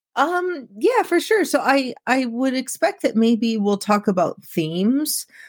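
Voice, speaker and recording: With a Midwestern American accent, a woman speaks at a fairly slow pace in a high pitch with very wide pitch swings, in a very clean recording with a silent background. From US Midwest, central Illinois. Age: 30s. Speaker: autopsy technician. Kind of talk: interview, personal story.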